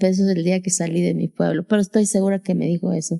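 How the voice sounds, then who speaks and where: A woman speaks at medium pitch and a moderate pace in a flat monotone. Her tone is dark and mellow, and the sound is dry and close with no echo. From Mexico, Sierra Sur of Oaxaca. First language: Zapotec (speaking Spanish). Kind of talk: interview testimony.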